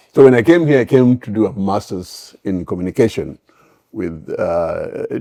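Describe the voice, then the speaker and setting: A man speaks with a strong Kenyan accent at a moderate pace. His loudness swings widely. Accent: heavy Kenyan. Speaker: immigrant parent. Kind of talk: casual chat. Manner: halting.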